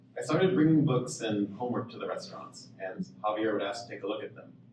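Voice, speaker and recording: A man with an American accent speaks fairly quickly at medium pitch, his voice making very wide pitch swings. Noticeable background noise and audible room echo fill the recording. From Oklahoma. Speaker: author. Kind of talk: reading aloud.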